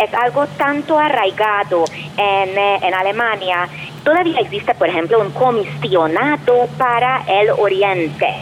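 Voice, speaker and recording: A woman speaks at a fairly slow pace and medium pitch, her loudness very even. Her pitch swings very widely, and there is noticeable background noise. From Hungary. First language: Hungarian (speaking Spanish). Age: 40s. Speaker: professor and researcher. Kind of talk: interview.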